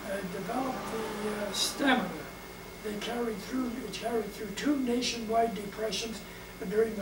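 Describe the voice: A man with a high pitch and fairly even intonation over clear background noise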